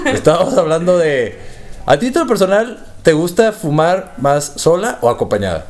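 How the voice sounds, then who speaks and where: This man speaks with a Mexican accent, his high pitch carried by lively intonation. Noticeable background noise runs behind him. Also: moderate pace. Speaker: podcast host. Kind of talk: casual chat.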